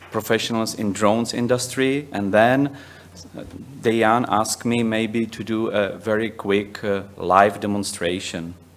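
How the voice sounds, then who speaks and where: With a Czech accent, a man speaks at a fairly slow pace and fairly low pitch. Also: fairly even intonation. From Czech Republic. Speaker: software company managing director; presenter. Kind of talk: conference presentation. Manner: halting, many fillers. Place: hall.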